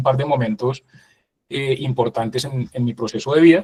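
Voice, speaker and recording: With a dark, mellow tone and a somewhat breathy quality, a man speaks in fairly even intonation. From Bogotá, Colombia. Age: 40s. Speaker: business executive, invited speaker. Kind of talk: interview-style talk.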